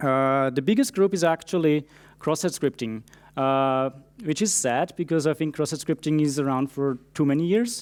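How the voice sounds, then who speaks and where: A man with a non-native accent, fairly high pitch, moderate pace, very even loudness and ordinary pitch variation, on a very clean recording with a silent background. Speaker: security engineer. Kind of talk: conference talk. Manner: frequent fillers (uh, um).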